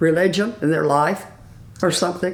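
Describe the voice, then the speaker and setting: An American accent with ordinary pitch variation. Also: woman. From Ozark Mountains, USA. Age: 80s+. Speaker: retired daycare business owner. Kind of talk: interview answer.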